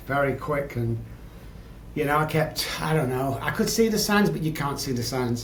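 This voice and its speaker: A man with an English accent talks at a fairly quick pace in a medium pitch. Noticeable background noise and audible room echo surround him. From England. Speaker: addiction psychologist. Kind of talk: podcast interview, personal story.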